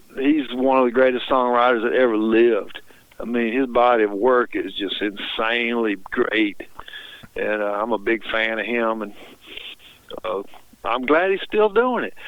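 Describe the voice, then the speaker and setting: A man with a Mississippi accent at medium pitch, fairly slow and marked by long, frequent pauses, with ordinary pitch variation. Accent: US Southern (Mississippi). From Mississippi, Tupelo. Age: 60s. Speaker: singer-songwriter. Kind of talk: radio interview.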